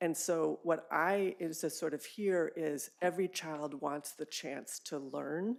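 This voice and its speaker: A woman with an American accent, at a very slow pace with hardly any pauses. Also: fairly low pitch for a woman, ordinary pitch variation. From US West Coast, California. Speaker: public health officer, public commenter. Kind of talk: public comment at a board meeting.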